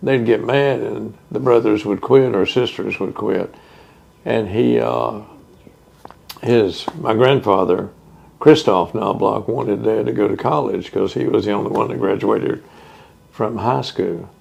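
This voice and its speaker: A man with a Texan accent, fairly slow in pace, with long, frequent pauses. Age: 70s. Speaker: oral history interviewee. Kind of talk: oral history interview. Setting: museum house.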